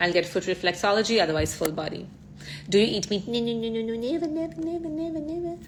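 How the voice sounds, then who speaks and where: The pace is very fast. This woman's intonation stays lively throughout. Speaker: ayurveda influencer. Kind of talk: live Q&A.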